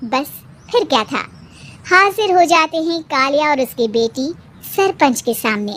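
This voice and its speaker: Long, frequent pauses break up this high-pitched cartoonish character voice, which moves at a moderate pace. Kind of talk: storytelling narration.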